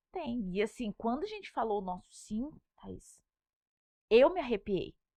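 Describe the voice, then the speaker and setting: Her fairly high voice has a dark, mellow tone, very wide pitch swings and big swings in loudness. The woman speaks at a fairly slow pace, with a dry, close sound with no echo. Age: 30s. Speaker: pregnant mother, social media creator. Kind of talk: podcast interview.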